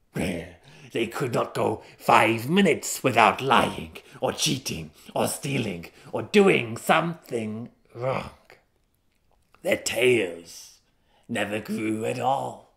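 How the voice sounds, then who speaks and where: A put-on character voice from a man at medium pitch, very slow, with long, frequent pauses and lively intonation. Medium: read story. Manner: solemn, grudging storyteller.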